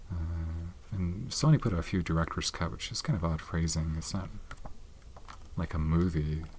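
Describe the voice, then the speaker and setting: A soft-spoken man with a very deep, low pitch, ordinary pitch variation, and long, frequent pauses. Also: moderate pace. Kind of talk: ASMR soft-spoken show and tell.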